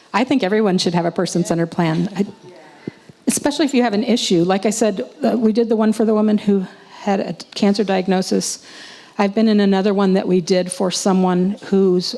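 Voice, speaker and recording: Over noticeable background noise, a woman at a medium pitch talks at a fairly quick pace with ordinary pitch variation, broken by long, frequent pauses. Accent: American. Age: 60s. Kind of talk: conference presentation with Q&A.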